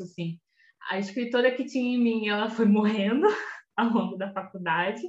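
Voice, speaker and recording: This woman has a plain, everyday voice with a fairly high pitch. She goes at a moderate pace with ordinary pitch variation. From Rio de Janeiro state, Belford Roxo. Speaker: teacher and researcher, podcast co-host. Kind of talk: casual chat.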